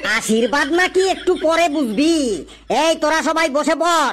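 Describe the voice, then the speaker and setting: In a high-pitched, cartoonish character voice, the speaker talks at a fairly slow pace. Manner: scolding, sarcastic.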